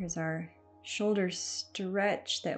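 A woman at a fairly slow pace, with faint music in the background. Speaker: fitness instructor. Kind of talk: workout instruction. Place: home room.

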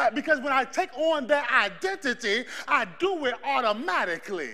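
Shouting in a raised, projected voice, a man with an extremely high pitch sounds animated, his intonation lively. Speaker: preacher. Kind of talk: sermon with live congregation call-and-response. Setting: church. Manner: loud, animated, exhorting the crowd to shout back; fervent, rhythmic, building in intensity. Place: church.

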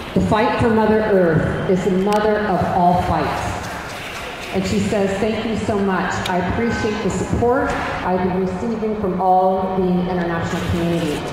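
The voice moves at a moderate pace amid strong room echo and noticeable background noise. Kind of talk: rally speech. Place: street. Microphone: camera far.

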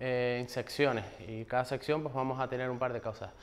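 A man's medium-pitched voice moves along at a moderate pace. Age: 30s. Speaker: software engineer; conference speaker. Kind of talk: conference talk. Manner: halting, many fillers. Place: classroom.

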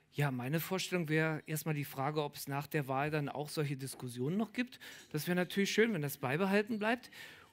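This man's voice sits fairly high in pitch. He talks at a fairly quick pace. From Berlin. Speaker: artist; guest. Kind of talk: public Q&A discussion. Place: bar. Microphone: headset.

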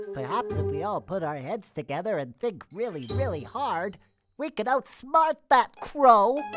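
A cartoonish character voice speaks at a fairly high pitch and a moderate pace, with very wide pitch swings. Faint music plays in the background. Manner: earnest, hopeful.

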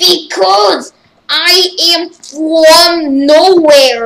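This is a put-on character voice, high in pitch. It sounds raspy.

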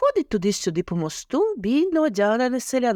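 Reading in an unforced voice

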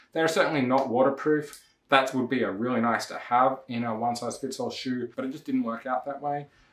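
Audible room echo on a man's voice. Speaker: shoe reviewer. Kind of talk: casual review vlog. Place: home room.

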